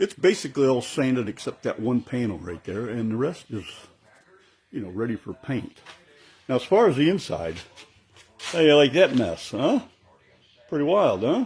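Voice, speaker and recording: A man speaks at a medium pitch with very wide pitch swings. His pace is moderate and his voice is somewhat breathy. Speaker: hobbyist model railroad builder. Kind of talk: workshop tutorial walkthrough. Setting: home workshop. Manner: casual, rambling with fillers.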